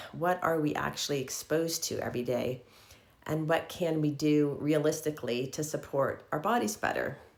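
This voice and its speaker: A woman's very deep, low voice with vocal fry, at a moderate pace and with ordinary pitch variation. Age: 60s. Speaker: lifestyle vlogger. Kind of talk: casual vlog monologue.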